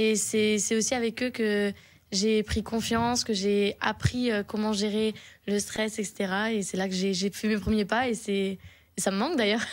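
Over a quiet background, a woman speaks very slowly in a fairly high pitch, flat and monotone, with very even loudness. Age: 20s. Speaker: singer; guest. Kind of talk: radio interview. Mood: cheerful, smiling. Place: studio. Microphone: studio mic.

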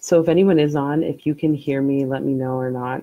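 Against a quiet background with a dry sound and no echo, a woman speaks in a very deep, low pitch with a calm, gentle tone and fairly even intonation. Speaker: meditation and energy work guide. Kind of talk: slow, soothing guided breathing meditation with visualization. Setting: live stream recording. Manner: calm, gentle cues with pauses between breaths; casual and rambling with many fillers when chatting. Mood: cheerful, casual at start. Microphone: earbuds.

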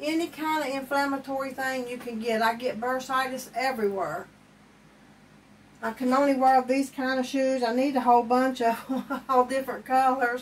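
Her pitch high, a woman speaks with fairly even intonation. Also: moderate pace.

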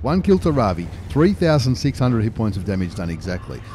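A man with an Australian accent talks in an animated tone with very wide pitch swings. The sound is dry with no echo, over light background noise. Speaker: video game YouTuber. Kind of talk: live sports-style commentary over game replays. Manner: animated, fast play-by-play delivery; informal, chatty, with fillers and repetition. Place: home room. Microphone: studio mic.

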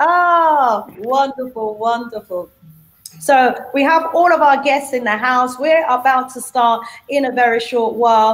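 Using a British accent, a woman with a high pitch speaks at a fairly slow pace, her pitch varying an ordinary amount and her loudness swinging widely. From UK. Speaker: talk show host. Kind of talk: live panel talk show. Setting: video call. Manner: warm and animated. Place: home room. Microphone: video call.

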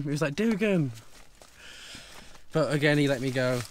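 The talking moves at a fairly quick pace with lively intonation. The sound is dry with no echo, over light background noise. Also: man. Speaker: travel vlogger. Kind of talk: casual vlog chat. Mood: relieved, lightly amused. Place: car. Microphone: camera far.

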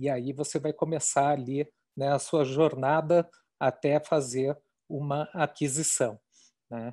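A man talks very slowly in a dark, mellow tone, leaving long, frequent pauses. His intonation stays fairly even against a quiet background. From Brazil, Curitiba. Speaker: marketing executive. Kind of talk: webinar presentation. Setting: video call.

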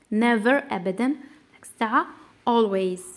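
With an Algerian accent, a woman speaks at a fairly high pitch with ordinary pitch variation. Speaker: English teacher. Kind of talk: tutorial.

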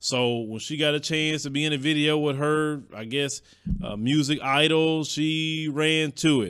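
Against a quiet background, a man talks at a fairly high pitch with fairly even intonation. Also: fairly slow pace. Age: 40s. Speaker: entertainment commentary youtuber; show host. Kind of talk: casual monologue; entertainment commentary. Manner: hesitant, many fillers. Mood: opinionated, casual. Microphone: studio mic.

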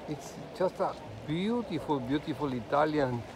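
A man talks fairly slowly, his pitch varying in an ordinary way, amid noticeable background noise. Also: dry sound with no echo. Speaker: sailor vlogger. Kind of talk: casual vlog narration. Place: waterside. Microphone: phone near.

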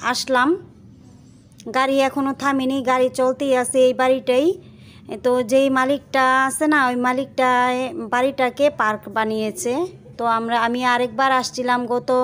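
Over light background noise, a woman talks in a high pitch with monotone, flat intonation and very even loudness. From Bangladesh. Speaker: lifestyle vlogger; vlogger. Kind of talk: vlog narration. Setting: outdoors; in a car. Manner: casual, halting with fillers. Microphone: phone near.

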